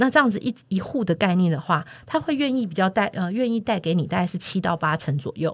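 Somewhat breathy and at medium pitch, a woman speaks at a very fast pace with very wide pitch swings on a very clean recording with a silent background. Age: 40s. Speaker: real estate platform podcast host. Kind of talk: casual chat.

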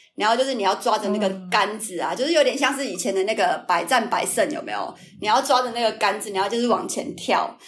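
This woman talks at a very fast pace with hardly any pauses. Her voice is fairly high, with ordinary pitch variation. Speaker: YouTuber. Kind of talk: casual chat. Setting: remote recording.

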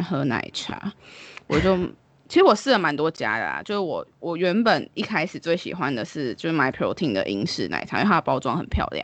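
A woman speaks at a moderate pace in a fairly low pitch, with vocal fry and very wide pitch swings. The background is quiet. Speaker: podcast co-host. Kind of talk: casual chat.

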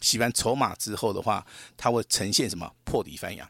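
At a moderate pace, a man with a medium-pitched voice talks in a dry, close sound with no echo. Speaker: stock market analyst. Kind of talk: radio market commentary.

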